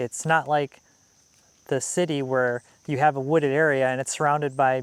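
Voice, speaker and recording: In a Wisconsin accent, a man speaks with monotone, flat intonation at a fairly high pitch and a moderate pace, the sound dry and close with no echo. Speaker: homesteader and outdoors vlogger. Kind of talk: casual vlog talk to camera.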